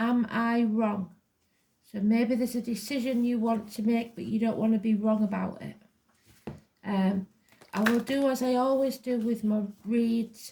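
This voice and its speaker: A woman with an English accent speaks in a fairly high voice, her intonation flat and monotone. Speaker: tarot reader. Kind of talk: personal psychic reading. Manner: deliberately slow.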